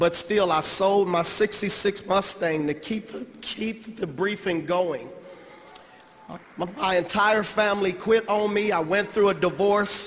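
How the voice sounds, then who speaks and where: A high-pitched male voice at a fairly slow pace, with fairly even intonation and noticeable background noise. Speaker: motivational speaker. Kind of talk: motivational speech.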